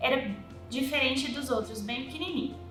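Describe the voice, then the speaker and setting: A woman speaks in a raised, projected voice with a high pitch. Audible room echo and noticeable background noise surround her. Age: 20s. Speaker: mother of a child with a rare syndrome. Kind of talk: personal testimony.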